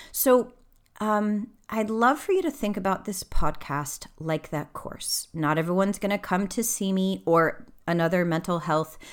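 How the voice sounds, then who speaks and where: A woman with an American accent has a normal speaking voice and speaks at a fairly slow pace. Her pitch variation is ordinary, and the recording is very clean with a silent background. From US South, Texas (Dallas suburb). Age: 40s. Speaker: intimacy and communication coach. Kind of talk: solo podcast monologue. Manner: casual, conversational.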